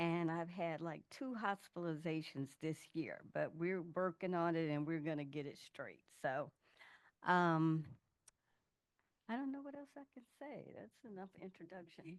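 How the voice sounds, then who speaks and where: Using a plain, everyday voice, a woman speaks at a fairly low pitch and fairly slow pace, with lively intonation and big swings in loudness. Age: 60s. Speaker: patient panelist. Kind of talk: panel discussion.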